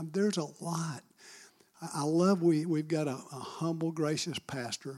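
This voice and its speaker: A man's fairly high voice with a Southern US accent, fairly even intonation and a fairly slow pace, on a very clean recording with a silent background. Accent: Southern US (Georgia). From Marietta, Georgia, US South. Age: 60s. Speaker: church admin team member. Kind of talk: testimony.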